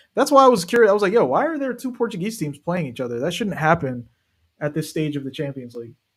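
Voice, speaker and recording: Speaking at a very fast pace with an American accent, a man uses a high pitch for a man and very wide pitch swings. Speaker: football streamer. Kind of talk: live watch-along commentary. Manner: animated.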